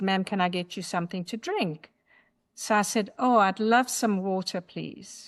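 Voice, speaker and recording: At a fairly quick pace, a woman with a South African accent talks at medium pitch with ordinary pitch variation against a quiet background. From South Africa, Durban. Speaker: memoir author. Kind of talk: podcast interview.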